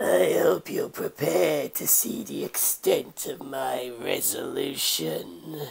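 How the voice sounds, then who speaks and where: Soft-spoken and raspy, a man puts on a character voice at a fairly slow pace with hardly any pauses. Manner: murmuring, menacing.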